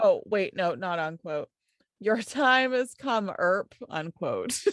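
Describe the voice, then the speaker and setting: A woman speaks very slowly with a fairly high pitch and lively intonation, in a dry, close sound with no echo. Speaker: podcast co-host. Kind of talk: casual chat, reading notes aloud. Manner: animated.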